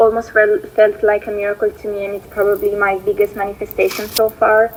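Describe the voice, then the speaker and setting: With an Italian accent, a woman speaks at a fairly high pitch amid noticeable background noise. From Italy. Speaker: viewer sharing a success story. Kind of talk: recorded voice note testimony. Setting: voice note played from laptop. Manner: halting, many fillers. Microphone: voice note played through laptop, may be quiet.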